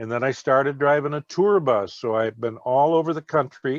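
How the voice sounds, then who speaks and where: Speaking at a moderate pace, a man talks with an Upper Midwest accent. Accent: Upper Midwest American. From Minnesota. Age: 70s. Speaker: retired veteran and author. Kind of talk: podcast interview. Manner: hesitant, many fillers.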